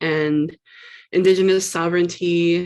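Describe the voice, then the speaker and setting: With a Canadian accent and a normal speaking voice, a woman talks at a moderate pace and a fairly low pitch, her intonation fairly even. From Canada, Ottawa. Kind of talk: roundtable discussion.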